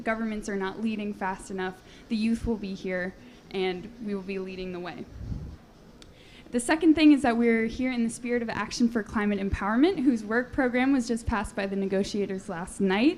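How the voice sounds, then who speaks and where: A woman talks at a moderate pace in a fairly high pitch with ordinary pitch variation. She has an unremarkable speaking voice. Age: 20s. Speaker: panel moderator. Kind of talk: panel discussion. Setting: conference panel.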